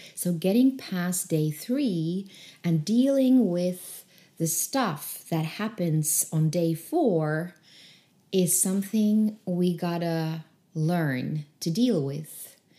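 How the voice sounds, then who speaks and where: In a non-native accent, a woman speaks at a very slow pace with a fairly low pitch and lively intonation. Her tone is dark and mellow, and the recording is very clean with a silent background. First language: not English. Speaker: creativity coach and podcaster. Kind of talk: solo podcast teaching practice. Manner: hesitant, repeats words at times.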